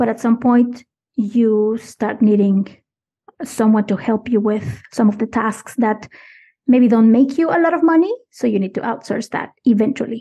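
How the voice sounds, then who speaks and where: A woman with a non-native accent speaks in a fairly high pitch, her dark, mellow tone somewhat breathy. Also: ordinary pitch variation, moderate pace. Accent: foreign accent, she thinks it is noticeable. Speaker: podcast manager and producer. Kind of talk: interview conversation.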